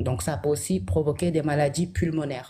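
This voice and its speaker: A woman's very deep, low voice, dark and mellow in tone, with vocal fry and lively intonation. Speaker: health guest. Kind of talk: educational talk.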